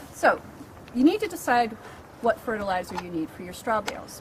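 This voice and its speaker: A woman's fairly high voice with lively intonation, over noticeable background noise. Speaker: librarian and gardener. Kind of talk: tutorial.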